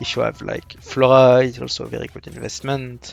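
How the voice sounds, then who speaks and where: With music in the background, a man speaks at a moderate pace. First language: French. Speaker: gaming content creator. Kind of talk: casual gameplay commentary. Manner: hesitant, many fillers.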